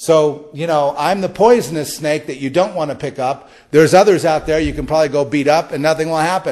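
At a fairly quick pace with hardly any pauses, a man in an American accent uses an ordinary speaking voice, fairly high in pitch, with ordinary pitch variation. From Los Angeles. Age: 60s. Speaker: podcast host. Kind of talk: spiritual monologue.

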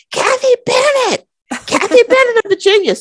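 Over light background noise, a squeaky put-on character voice at an extremely high pitch proceeds at a moderate pace. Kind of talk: interview outro chat. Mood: cheerful, laughing.

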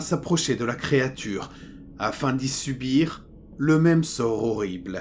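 Pitch swinging very widely, a man talks at a very slow pace. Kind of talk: ghost story telling, horror narration read aloud. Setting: studio recording for headphones. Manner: slow, hushed and suspenseful, building dread; grave first-person narrator, measured and tense.

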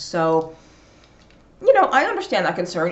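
At a moderate pace comes a plain, everyday voice. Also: woman. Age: 40s. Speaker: nutrition video blogger. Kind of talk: casual educational monologue. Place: home room. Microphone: webcam.

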